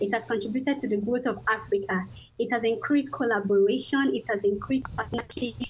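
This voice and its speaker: Somewhat breathy and fairly high in pitch, a woman speaks at a fairly quick pace with ordinary pitch variation. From Nigeria. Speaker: nonprofit worker and researcher. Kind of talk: radio interview. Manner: halting.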